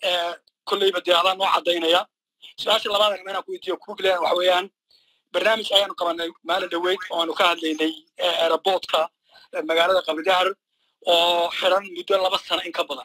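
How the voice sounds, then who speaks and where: The background stays quiet. A man's delivery moves at a moderate pace. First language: Somali (speaking Arabic). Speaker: caller. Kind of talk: call-in question. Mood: serious, firm. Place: hall. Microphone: handheld.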